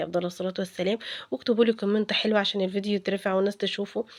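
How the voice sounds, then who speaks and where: A woman with an Egyptian accent speaks at a very fast pace in a monotone, flat intonation. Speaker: cooking vlogger. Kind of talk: cooking tutorial. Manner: halting, many fillers and restarts; casual, chatty.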